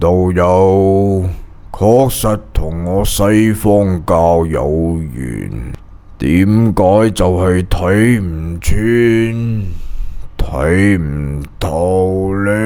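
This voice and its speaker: A man's put-on character voice with very deep, low pitch and ordinary pitch variation, over light background noise. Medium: read story. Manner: polite, smiling, falsely benign.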